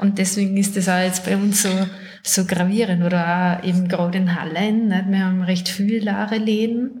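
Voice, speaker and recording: Recorded with audible room echo, a woman in a Salzburg accent speaks at a medium pitch and moderate pace in a monotone, flat intonation. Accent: Salzburg Austrian. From Salzburg, Austria. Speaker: ceramicist and office worker. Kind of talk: casual interview.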